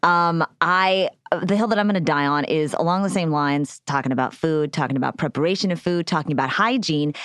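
Using a plain, everyday voice, a woman talks at a fairly quick pace with a fairly low pitch. Her pitch variation is ordinary and her loudness very even. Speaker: comedian. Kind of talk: casual chat. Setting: studio.

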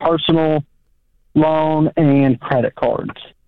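A very slow pace in a Southern US accent. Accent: Southern drawl. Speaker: caller. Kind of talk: call-in advice conversation. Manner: drawn-out vowels.

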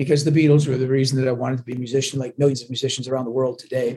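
A dark, mellow tone and a somewhat breathy quality mark a man's voice. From Glasgow, Scotland, raised in Canada. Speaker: touring rock musician. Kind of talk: casual interview chat. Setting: on the road, remote call.

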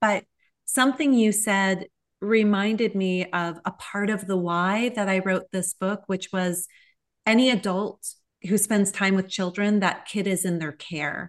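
Against a quiet background, a woman speaks in a plain, everyday voice of medium pitch, at a fairly slow pace and with fairly even intonation. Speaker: author. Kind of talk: interview conversation.

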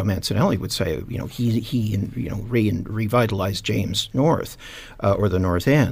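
This speaker talks in a somewhat breathy way with a Canadian accent. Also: man. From Canada, east end of Hamilton, Ontario. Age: 60s. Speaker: retired businessman, heritage shop owner. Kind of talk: radio panel discussion. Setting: radio studio.

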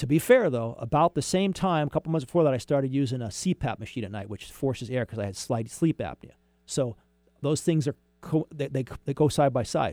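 A man with a normal speaking voice, fairly high-pitched, fairly quick and lively in intonation, on a dry, close, very clean recording with a silent background. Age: 60s. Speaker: radio host and mortgage broker. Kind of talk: casual talk radio monologue.

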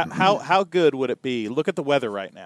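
An unremarkable speaking voice from a man with an American accent, medium pitch, lively intonation and moderate pace, dry and close with no echo. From northern US. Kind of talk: casual chat.

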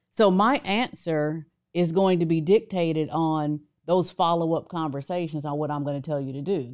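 Her pitch fairly low, a woman speaks at a moderate pace. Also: ordinary pitch variation, very clean recording, silent background. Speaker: business coach. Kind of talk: casual chat. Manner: soft-spoken.

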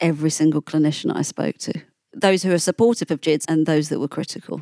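In an English accent, a woman talks very fast in a fairly low, dark and mellow voice with ordinary pitch variation. The sound is dry and close with no echo, on a very clean recording with a silent background. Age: 40s. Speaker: journalist and author. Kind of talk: interview.

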